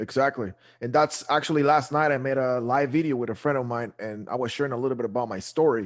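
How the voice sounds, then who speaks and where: A man with a Guatemalan accent, medium pitch and ordinary pitch variation, talking at a very fast pace against a quiet background. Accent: Guatemalan Spanish accent, noticeable. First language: Spanish. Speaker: real estate investor, show co-host. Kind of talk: casual interview chat. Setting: live video show.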